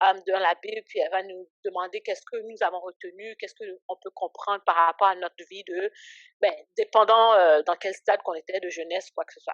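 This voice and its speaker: Speaking at a fairly quick pace and medium pitch, a woman has monotone, flat intonation with big swings in loudness. The sound is dry and close, with no echo. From Canada, raised from age 7 (born in Haiti). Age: 20s. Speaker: ministry founder and entrepreneur. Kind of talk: podcast interview. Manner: casual, filler-heavy speech.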